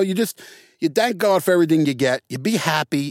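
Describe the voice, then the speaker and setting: A man with a New York accent, fairly quick and with lively intonation, in a dry, close sound with no echo. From New York City, the Bronx. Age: 50s. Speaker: actor. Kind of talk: casual interview. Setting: studio.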